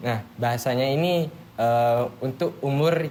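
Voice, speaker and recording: Audible room echo surrounds a man with a Madurese accent as he speaks at a medium pitch with ordinary pitch variation. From Madura, Indonesia (Bangkalan). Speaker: university student. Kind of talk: casual group podcast discussion. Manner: naturally loud, forceful tone; halting, many fillers.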